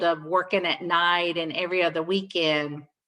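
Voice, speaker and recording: A woman speaks loud at a moderate pace against a quiet background. Her medium-pitched voice has a bright, sharp tone and ordinary pitch variation. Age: 60s. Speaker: nurse. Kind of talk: Q&A session.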